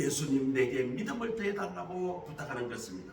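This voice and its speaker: Through noticeable background noise, a man with a strong Gyeongsang accent and a high pitch talks at a moderate pace. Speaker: pastor. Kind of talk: sermon.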